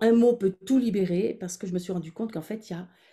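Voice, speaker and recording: The woman's voice has a dark, mellow tone and sounds somewhat breathy. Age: 60s. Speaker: former midwife and women's wellness coach. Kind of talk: webinar workshop with guided visualization. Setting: online webinar.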